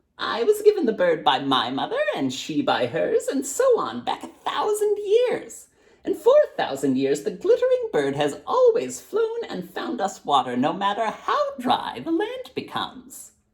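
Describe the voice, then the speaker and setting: A put-on character voice runs at a moderate pace with hardly any pauses. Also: man. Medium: read story.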